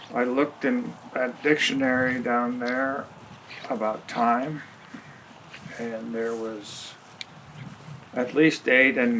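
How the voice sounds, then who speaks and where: With noticeable background noise, a man speaks at a medium pitch and a very slow pace. Long pauses come often. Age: 80s+. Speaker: retired grandfather, documentary subject. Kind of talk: reflective interview monologue. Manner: halting.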